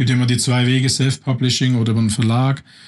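Somewhat breathy, a man speaks at medium pitch and a very fast pace. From Swabia, southern Germany. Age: 50s. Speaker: life coach. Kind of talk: interview.

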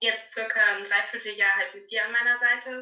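Her tone bright and sharp, a woman speaks at a fairly high pitch and a moderate pace. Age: 20s. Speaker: fitness coaching client, trainee childcare worker. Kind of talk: casual interview.

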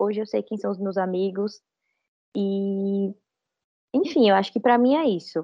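A woman talks at a moderate speed, her medium pitch rising and falling in an ordinary way. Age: 20s. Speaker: lawyer. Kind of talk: casual chat.

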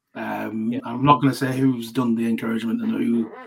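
A man in a Lancashire accent at a very fast pace. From Lancashire, northern England. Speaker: cricket writer and associate cricket expert. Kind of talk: podcast interview.

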